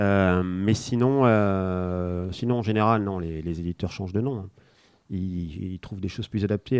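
Talking at a fairly slow pace, a man has an unremarkable speaking voice with ordinary pitch variation. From France (arrived from Spain age one). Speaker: board game designer. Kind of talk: casual interview.

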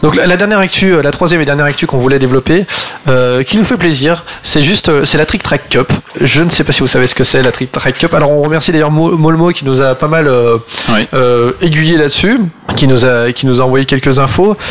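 Over noticeable background noise, a man with a fairly high pitch speaks at a fairly quick pace, his loudness very even and his pitch varying in an ordinary way. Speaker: radio host. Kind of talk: radio talk show. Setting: studio.

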